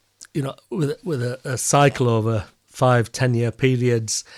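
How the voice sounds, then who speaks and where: Recorded very cleanly against a silent background, a man with a strong Yorkshire accent speaks at medium pitch with fairly even intonation. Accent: broad Yorkshire. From Yorkshire, northern England. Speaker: peer and professor. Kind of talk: interview.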